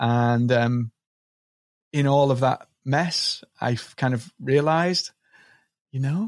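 With a Liverpool accent, a man speaks at medium pitch with ordinary pitch variation, sounding dry and close with no echo in a very clean recording with a silent background. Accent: Liverpool (Scouse) English. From northern England, Liverpool. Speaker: marketing coach. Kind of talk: podcast interview.

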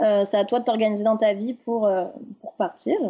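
Speaking at a moderate pace against a quiet background, a woman has a fairly high pitch, a dark, mellow tone and fairly even intonation. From France. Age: 30s. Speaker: podcast guest sharing personal story. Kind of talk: casual interview chat.

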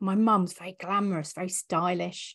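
Delivered with fairly even intonation, this is an ordinary speaking voice. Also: woman. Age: 40s. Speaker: business coach and mentor. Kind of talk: casual interview.

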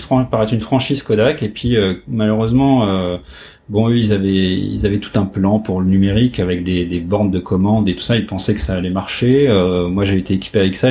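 Over noticeable background noise, a man talks fairly quickly in a fairly low pitch with ordinary pitch variation. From northern France (Oise, Compiègne). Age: 40s. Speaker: photo lab owner. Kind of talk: interview. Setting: office. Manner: halting, many hesitations.

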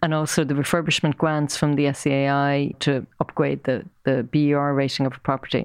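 A woman with an Irish accent speaks at a very deep, low pitch in a monotone, flat intonation. She keeps a fairly quick pace and very even loudness over a quiet background. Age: 50s. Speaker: property marketing executive. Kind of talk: interview.

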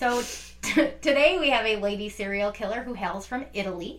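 A woman talks at a medium pitch with lively intonation. Noticeable background noise can be heard. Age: 30s. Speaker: true crime podcast co-host. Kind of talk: casual chat. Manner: animated.

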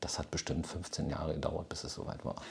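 This man's voice is somewhat breathy, with a dark, mellow tone. He talks at a fairly quick pace. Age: 50s. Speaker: retired software company founder. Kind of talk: interview.

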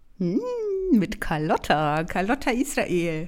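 Very wide pitch swings mark this woman's speech, in a Franconian accent. The recording is very clean with a silent background. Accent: Franconian, rolled R. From Franconia, Germany. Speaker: podcast host, theologian, doctoral student. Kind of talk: casual chat.

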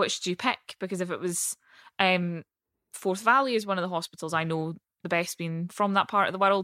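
On a very clean recording with a silent background and a dry, close sound with no echo, a woman in a Central Belt Scottish accent talks at a fairly quick pace, medium in pitch, bright and sharp in tone, her intonation fairly even. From Falkirk, central Scotland. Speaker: politician (MSP). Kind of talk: casual interview chat.

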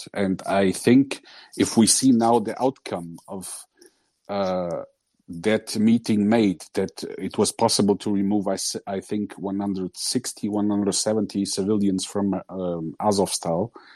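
Speaking very slowly in a fairly low, dark and mellow voice, a man keeps a fairly even intonation, with a dry, close sound with no echo and a quiet background. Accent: Portuguese. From Portugal. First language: Portuguese. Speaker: listener. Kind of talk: casual discussion. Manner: halting.

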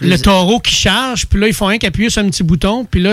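A man speaks with a Quebec accent. His pitch is high, with ordinary pitch variation. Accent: Québécois French. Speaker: studio guest. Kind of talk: casual chat. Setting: studio.

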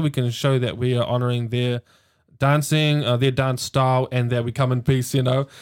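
With a New Zealand accent, a man talks at a moderate pace and a medium pitch. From New Zealand, Hamilton. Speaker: dancer and arts worker. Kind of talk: casual chat.

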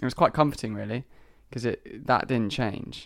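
With vocal fry and ordinary pitch variation, a man speaks at a moderate pace. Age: 20s. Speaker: singer-songwriter. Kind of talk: casual interview chat.

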